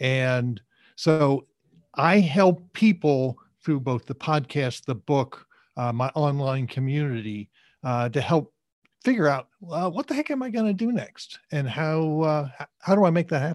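A man with an American accent and an unremarkable speaking voice, fairly high in pitch, lively in intonation and fairly slow, on a very clean recording with a silent background and a dry, close sound with no echo. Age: 60s. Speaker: career coach and author. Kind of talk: interview.

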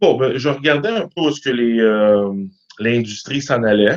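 A man with a Quebec accent. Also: dry, close sound with no echo. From Quebec, east Montreal. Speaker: mortgage broker. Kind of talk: interview.

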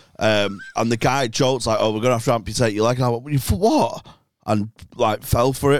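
With fairly even intonation and an unremarkable speaking voice, the man talks at a moderate pace in a medium pitch. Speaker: comedian. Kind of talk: casual banter.

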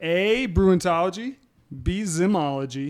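Over music in the background, a man with an American accent speaks at a high pitch. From US Midwest, near St. Louis. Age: 40s. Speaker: beer tour operator and lawyer. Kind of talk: casual chat.

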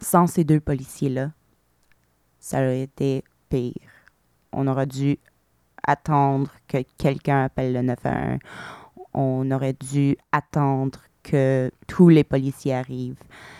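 Someone with an English accent speaks at a very slow pace with long, frequent pauses, a dark, mellow tone and monotone, flat intonation, recorded dry and close with no echo. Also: woman, very deep, low pitch for a woman. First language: English (speaking French). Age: 30s. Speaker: shooting survivor. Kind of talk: testimony. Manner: hesitant, frequent fillers.

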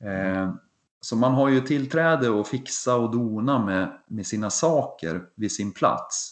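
A man speaks at a medium pitch and a very slow pace, with ordinary pitch variation over a quiet background. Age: 40s. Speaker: triathlon podcast co-host, amateur triathlete. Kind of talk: casual chat.

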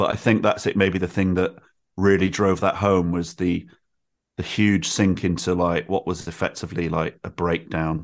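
Spoken at a moderate pace in a Mancunian accent, the delivery is monotone and flat. The recording is very clean with a silent background. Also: man, very deep, low pitch for a man. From Manchester, northern England. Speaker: writer, podcaster and musician. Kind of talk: casual chat.

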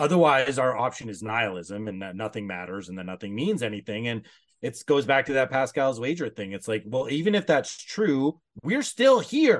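A man with a Canadian accent and a normal speaking voice talks at medium pitch and a moderate pace, with lively intonation, over a quiet background. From Canada. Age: 30s. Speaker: coach and former history professor. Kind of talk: podcast interview.

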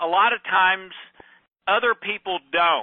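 A man speaks loudly at a high pitch. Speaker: podcast host. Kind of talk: personal monologue. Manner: halting.

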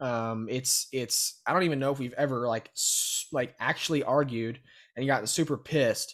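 On a very clean recording with a silent background, a man with a Texan accent speaks at a moderate pace and medium pitch, with ordinary pitch variation. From Texas, Brenham. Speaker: student real estate investor. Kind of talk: casual interview.

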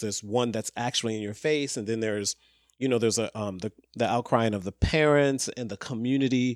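A plain, everyday voice talks at a fairly quick pace with ordinary pitch variation. The sound is dry and close with no echo, on a very clean recording with a silent background. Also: man. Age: 50s. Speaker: podcast guest discussing social issues. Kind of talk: casual conversation.

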